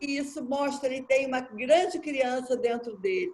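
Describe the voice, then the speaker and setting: Speaking fairly slowly, a woman keeps her voice high in pitch. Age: 70s. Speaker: participant in spiritist study group. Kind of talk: group discussion sharing.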